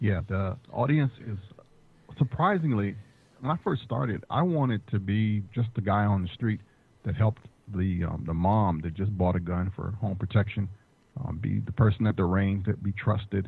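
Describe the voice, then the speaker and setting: With an American accent, the somewhat breathy voice moves at a moderate pace with ordinary pitch variation. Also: man, fairly low pitch for a man. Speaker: firearms instructor and podcaster. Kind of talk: interview podcast.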